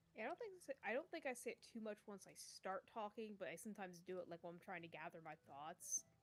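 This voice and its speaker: Words tumble out at a very fast clip with hardly any pauses, the pitch swinging very widely up and down. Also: woman, medium pitch for a woman. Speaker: streamer. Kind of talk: casual chat.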